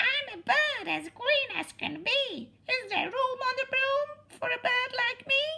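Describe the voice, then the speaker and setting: Using a put-on character voice, a woman sounds squeaky and extremely high-pitched, talking at a fairly slow pace with hardly any pauses. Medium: read story.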